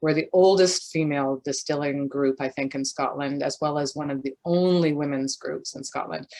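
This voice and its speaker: A woman speaks with a very deep, low pitch and a dark, mellow tone. Her moderate pace has hardly any pauses, and her intonation is fairly even. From Canada. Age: old. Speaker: gin distiller, business owner. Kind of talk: interview.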